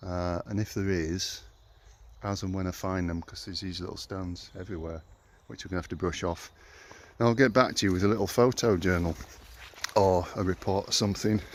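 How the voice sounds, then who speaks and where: Speaking with a Yorkshire accent, a man with a very deep, low pitch talks at a fairly quick pace, with long, frequent pauses, fairly even intonation and big swings in loudness. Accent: Yorkshire twang. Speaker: local history explorer vlogger. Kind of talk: walking vlog narration. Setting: outdoors at ruins in woods. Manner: casual, halting with fillers.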